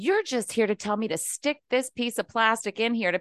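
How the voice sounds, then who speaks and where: Against a quiet background, a woman with an American accent uses an ordinary speaking voice, fairly high in pitch, with lively intonation at a fairly quick pace. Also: dry, close sound with no echo. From West Virginia. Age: 50s. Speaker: podcast listener. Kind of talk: casual chat.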